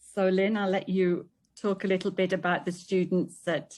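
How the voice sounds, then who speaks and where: A woman with a British accent, fairly low in pitch, at a moderate pace against a quiet background. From UK. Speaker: English teacher. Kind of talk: presentation.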